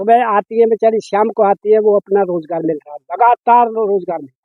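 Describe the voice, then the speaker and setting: Speaking at a high pitch, a man shows ordinary pitch variation. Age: 50s. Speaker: farmer and schoolteacher. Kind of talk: interview.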